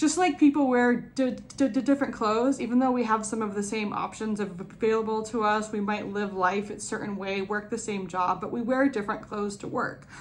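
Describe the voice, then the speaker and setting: Against noticeable background noise, a woman with a fairly high pitch and ordinary pitch variation talks at a fairly quick pace with hardly any pauses. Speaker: person who stutters, speaking on stuttering acceptance. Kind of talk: interview answer. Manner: repetitions and blocks on sounds.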